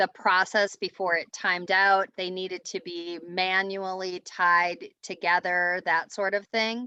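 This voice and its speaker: At a medium pitch and a fairly slow pace, a woman reads in a bright, sharp tone and a flat monotone, with hardly any pauses and a quiet background. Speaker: team meeting leader. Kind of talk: business team meeting update. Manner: slow, careful.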